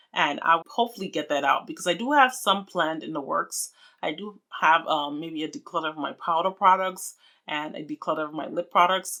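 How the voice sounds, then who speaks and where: A woman with a Nigerian accent speaks at a fairly quick pace in a fairly low pitch, her tone bright and sharp with lively intonation and big swings in loudness. The recording is very clean with a silent background. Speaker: beauty vlogger. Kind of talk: casual vlog talk to camera. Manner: chatty.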